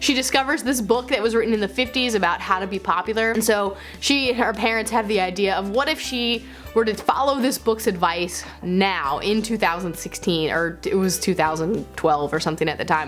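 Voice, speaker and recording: Music plays behind a woman of medium pitch who talks at a fairly quick pace with lively intonation and hardly any pauses. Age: 20s. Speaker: booktuber and creative writing teacher. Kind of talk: casual talk to camera.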